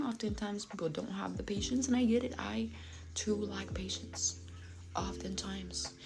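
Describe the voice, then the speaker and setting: Against music in the background and audible room echo, a woman speaks at a fairly slow pace. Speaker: fitness vlogger. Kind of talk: casual personal vlog talk. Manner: articulate.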